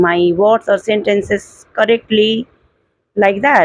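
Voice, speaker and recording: A woman with an Indian accent, fairly high pitch, fairly even intonation and a fairly slow pace. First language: Hindi. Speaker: English learner vlogger. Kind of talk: casual monologue. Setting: at home indoors. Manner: halting.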